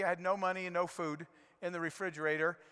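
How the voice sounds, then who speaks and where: A man's very fast speech, bright and sharp in tone, with fairly even intonation. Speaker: conference speaker, serial entrepreneur. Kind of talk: keynote speech.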